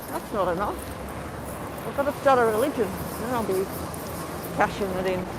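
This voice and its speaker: Over noticeable background noise, a woman talks in a fairly high pitch with ordinary pitch variation. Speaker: livestreamer. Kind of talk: live stream commentary. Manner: casual. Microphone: muffled.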